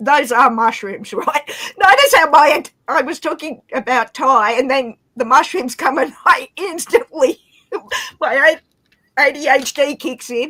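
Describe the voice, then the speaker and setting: This woman has a high voice and an Australian accent, raised and projected. Her tone is animated and her intonation lively. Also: fairly slow pace. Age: 40s. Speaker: livestream guest. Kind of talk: casual chat.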